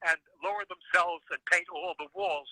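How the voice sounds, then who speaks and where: A man talks at a fairly slow pace with a high pitch. His voice is raised and projected. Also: dry, close sound with no echo. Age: 90s. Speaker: graffiti photographer. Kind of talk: interview. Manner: halting.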